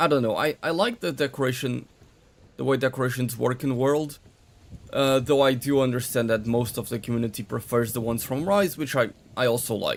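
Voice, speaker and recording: A man with a strong Portuguese accent speaks fairly quickly at a medium pitch, with ordinary pitch variation. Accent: heavy Portuguese. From Portugal. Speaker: gaming streamer. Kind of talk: live stream commentary while playing.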